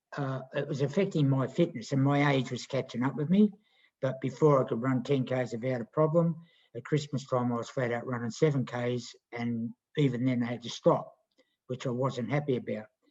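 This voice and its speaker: Somewhat breathy and at a fairly quick pace, a man with an Australian accent speaks at medium pitch with ordinary pitch variation. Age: 60s. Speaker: kart racer and health program client. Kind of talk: casual chat.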